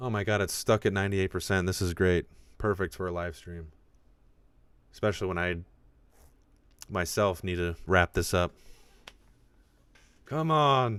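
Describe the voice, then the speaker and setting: Over a very clean recording with a silent background, a man with a very deep, low pitch speaks at a moderate pace with ordinary pitch variation and long, frequent pauses. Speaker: podcast host and independent creator. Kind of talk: live stream casual chat. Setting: live stream from home. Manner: less enunciated.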